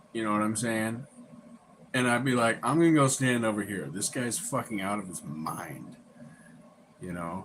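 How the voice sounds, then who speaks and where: Lively intonation and long, frequent pauses come at a moderate pace over noticeable background noise. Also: man, medium pitch for a man. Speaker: live streamer. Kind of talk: casual chat. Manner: laid-back.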